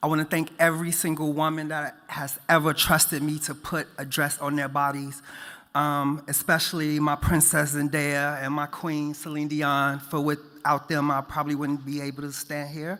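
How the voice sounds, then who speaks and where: A man with a Chicago accent speaks in a bright, sharp tone at a fairly high pitch with monotone, flat intonation, on a very clean recording with a silent background. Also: moderate pace, hardly any pauses. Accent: Chicago American English. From US Midwest, Chicago South Side. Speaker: fashion stylist, award winner. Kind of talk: award acceptance speech.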